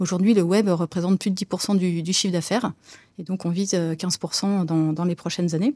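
A woman's dark, mellow tone comes with fairly even intonation, in a dry, close sound with no echo on a very clean recording with a silent background. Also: medium pitch for a woman, moderate pace. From Île-de-France (Brie, rural east of Paris). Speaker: marketing director. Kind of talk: interview. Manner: hesitant, with fillers and repetitions.

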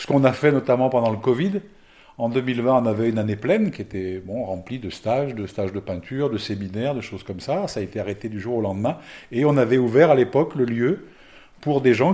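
A man speaks very fast at a medium pitch, his tone dark and mellow. His intonation is lively. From France, Lyon. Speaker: gîte owner and therapist. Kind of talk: casual interview. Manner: halting.

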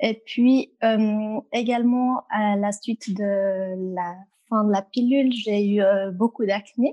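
The delivery is very slow, with fairly even intonation and a dark, mellow tone. The sound is dry and close, with no echo. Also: woman, fairly high pitch for a woman. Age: 20s. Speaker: customer sharing her experience, works in human resources. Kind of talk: interview. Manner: hesitant, frequent fillers.

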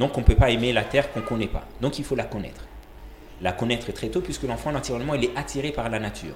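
Amid noticeable background noise, a man speaks very fast. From Comoros. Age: 30s. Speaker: architect and education entrepreneur. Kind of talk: interview conversation. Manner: halting, many repetitions.

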